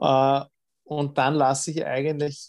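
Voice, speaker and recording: A man speaks at a fairly slow pace with a medium pitch. The recording is very clean, with a silent background. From Lower Austria, south of Vienna. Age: 30s. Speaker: triathlete and dentist. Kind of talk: interview. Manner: halting, many fillers and repetitions.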